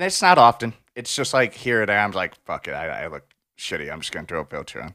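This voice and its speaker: On a very clean recording with a silent background, a man speaks at a very fast pace in a bright, sharp tone with vocal fry. His pitch swings very widely. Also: medium pitch for a man. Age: 20s. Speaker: podcast co-host. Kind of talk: casual chat.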